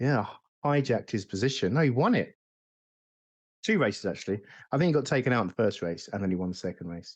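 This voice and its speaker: Against a quiet background, a man with a London accent and medium pitch talks at a very fast pace with lively intonation and long, frequent pauses. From South London, England. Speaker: sim racing content creator. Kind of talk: casual chat.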